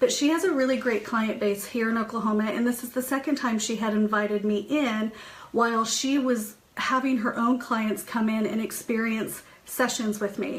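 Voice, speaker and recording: Against noticeable background noise, a woman with a fairly high pitch speaks at a moderate pace, with fairly even intonation and very even loudness. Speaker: psychic medium and spiritual host. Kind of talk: live stream chat with viewers. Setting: home office, live stream.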